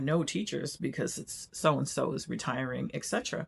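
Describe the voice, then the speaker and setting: A woman's voice with vocal fry, in a very clean recording against a silent background. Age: 60s. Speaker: retired quilting vlogger. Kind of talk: casual vlog talk. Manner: casual, with filler words.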